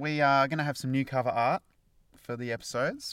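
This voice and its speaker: Against a very clean recording with a silent background, a man with an Australian accent speaks at a moderate pace. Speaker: podcast co-host. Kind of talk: casual chat.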